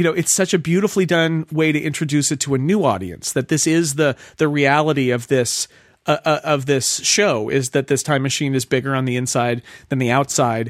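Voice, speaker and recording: This man has an American accent and an unremarkable speaking voice, fairly high in pitch with ordinary pitch variation. His loudness stays very even, and the sound is dry and close with no echo. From United States. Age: 40s. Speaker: magazine editor and podcaster. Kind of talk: casual chat.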